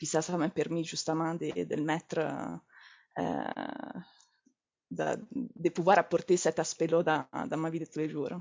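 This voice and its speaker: A fairly low-pitched woman with an Italian accent and vocal fry, at a very slow pace, with long, frequent pauses and ordinary pitch variation. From Italy. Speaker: entrepreneur, naturopath. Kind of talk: interview. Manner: halting, repeats words.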